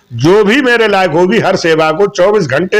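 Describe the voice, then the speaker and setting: This man speaks at a high pitch. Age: 60s. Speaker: local election candidate. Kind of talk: street interview.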